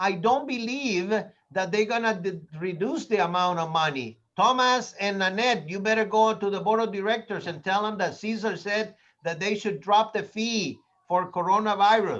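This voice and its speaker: A man with a Spanish accent, high-pitched for a man, at a moderate pace with ordinary pitch variation. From Latin America. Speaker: real estate trainer. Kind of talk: training class. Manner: animated.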